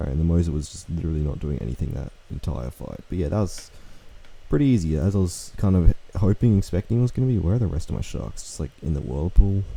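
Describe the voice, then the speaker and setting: Over noticeable background noise, a man with a very deep, low pitch speaks at a very fast pace, with long, frequent pauses and big swings in loudness. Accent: Australian. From Australia. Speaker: gaming youtuber. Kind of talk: gameplay commentary. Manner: casual, filler-heavy.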